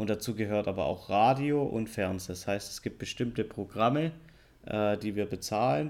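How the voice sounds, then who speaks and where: Recorded very cleanly against a silent background, a man with a slight southern German accent speaks at a fairly low pitch with ordinary pitch variation. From southern Germany. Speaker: podcast co-host. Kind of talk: casual chat. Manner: deliberately slower and clearer.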